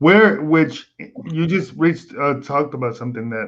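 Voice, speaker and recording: Against a quiet background, a man with an American accent uses an ordinary speaking voice, fairly high in pitch, with lively intonation. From Texas. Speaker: live stream host. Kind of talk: casual chat on live stream. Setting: live stream.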